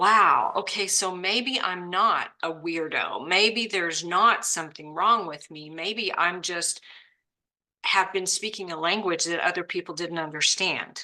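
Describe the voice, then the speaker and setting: A woman with a plain, everyday voice speaks at a fairly slow pace and a fairly low pitch. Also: ordinary pitch variation. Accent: American. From Oklahoma, US. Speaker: podcast host. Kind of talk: casual chat.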